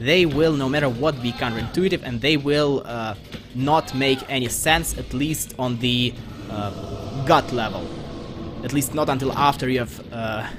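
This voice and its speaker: Over noticeable background noise, a man with a slight Russian accent talks at medium pitch and a moderate pace, with ordinary pitch variation. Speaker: video game let's player. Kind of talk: gameplay commentary. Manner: casual with frequent hesitations.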